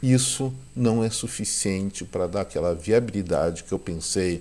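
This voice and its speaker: A man speaks at a fairly slow pace with a fairly low pitch. He has a plain, everyday voice and ordinary pitch variation. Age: 60s. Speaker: economics commentator, channel owner. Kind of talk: video commentary monologue. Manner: warm, conversational.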